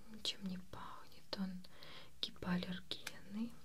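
A soft-spoken woman is whispering at a very slow pace. Noticeable background noise runs beneath her. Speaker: beautician role-play host. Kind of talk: soft-spoken role-play talk to viewer. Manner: soft close ASMR whisper. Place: home room.

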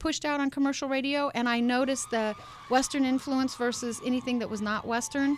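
A woman speaks at a high pitch with an American accent. The sound is dry, with no echo. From US Midwest. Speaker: K-pop radio show volunteer and concert promoter. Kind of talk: interview. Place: studio. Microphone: studio mic.

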